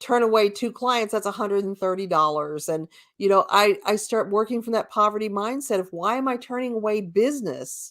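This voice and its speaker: In a very clean recording with a silent background, a woman with a plain, everyday voice talks at a medium pitch and a moderate pace, with ordinary pitch variation. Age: 60s. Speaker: co-host and spiritual healer with a shop. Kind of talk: casual discussion. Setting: at home, on a live stream.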